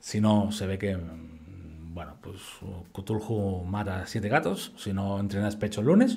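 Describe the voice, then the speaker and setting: A man with a fairly low pitch and a dark, mellow, somewhat breathy tone speaks at a fairly slow pace with ordinary pitch variation. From Spain. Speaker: fitness educator. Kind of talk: lecture. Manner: casual.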